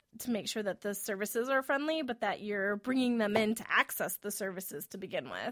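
An ordinary speaking voice with an American accent moves at a fairly quick pace with ordinary pitch variation and hardly any pauses, captured in a very clean recording with a silent background and a dry, close sound with no echo. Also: woman, fairly high pitch for a woman. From US Midwest, rural Wisconsin. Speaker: podcast host. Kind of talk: interview.

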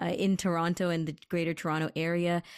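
A woman with a normal speaking voice and fairly low pitch talks at a moderate pace on a very clean recording with a silent background. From Canada. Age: 20s. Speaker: radio co-host. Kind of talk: casual radio chat.

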